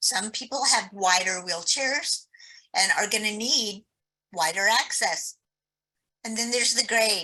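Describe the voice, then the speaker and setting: Bright and sharp in tone, a woman's fairly high voice carries lively intonation. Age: 60s. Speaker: accessibility advocate, birder. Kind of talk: webinar presentation.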